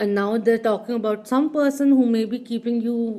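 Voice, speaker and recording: There is lively intonation in this woman's ordinary speaking voice, which sits at a fairly high pitch. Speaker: tarot card reader. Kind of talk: pick-a-card tarot reading.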